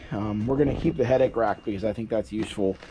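A man's voice over light background noise. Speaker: hobbyist tractor owner. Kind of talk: tutorial. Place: garden. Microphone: phone near.

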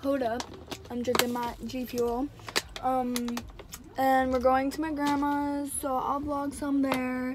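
Speech comes at a fairly slow pace with a flat, monotone intonation. Long, frequent pauses sit under noticeable background noise. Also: woman. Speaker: vlogger. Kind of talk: casual vlog chat. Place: car. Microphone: phone near.

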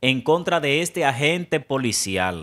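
A man talks at a very slow pace. The background is quiet. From Dominican Republic. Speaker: news presenter and reporter; news presenter, reporter. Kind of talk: news report. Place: studio. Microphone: studio mic.

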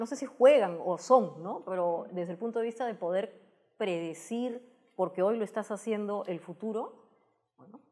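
Speaking at a moderate pace, a woman with a dark, mellow tone and medium pitch shows ordinary pitch variation and big swings in loudness against a quiet background. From Peru. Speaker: technology communicator and TV host; guest. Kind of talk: interview. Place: studio. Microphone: lapel.

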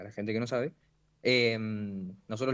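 The background stays quiet while a man is talking. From Santa Rosa, La Pampa, Argentina; La Pampa, Argentina. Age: young. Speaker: freestyle rapper; guest. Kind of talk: interview. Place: home room. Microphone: video call.

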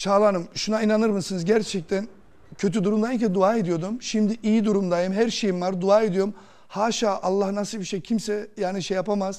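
Over a quiet background, a man speaks at a moderate pace with a high pitch. His intonation is monotone and flat. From Germany, Turkish emigrant from Kırşehir; Germany. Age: 40s. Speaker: lottery winner; talk show guest. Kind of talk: TV interview, personal story. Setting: TV studio. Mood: earnest, emotional. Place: studio. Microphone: lapel.

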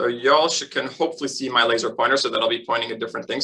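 With an American accent, a man speaks at a fairly high pitch in a bright, sharp tone over a quiet background. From US West Coast, Los Angeles. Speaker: eye doctor. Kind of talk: lecture. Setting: video call. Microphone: video call.

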